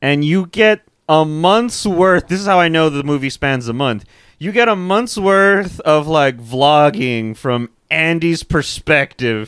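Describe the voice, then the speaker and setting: A man with an unremarkable speaking voice, fairly high in pitch, with lively intonation at a fairly slow pace. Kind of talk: casual chat. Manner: joking.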